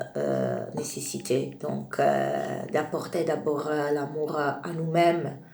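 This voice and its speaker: Very slow speech with hardly any pauses over noticeable background noise. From Italy. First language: Italian (speaking French). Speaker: spiritual video creator. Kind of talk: spiritual monologue. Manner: halting, many hesitations.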